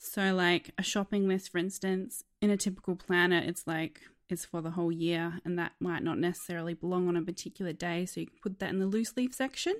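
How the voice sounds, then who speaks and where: Talking at a fairly quick pace with hardly any pauses, a woman with an Australian accent keeps a fairly low pitch and fairly even intonation. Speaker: app designer. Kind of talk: casual interview.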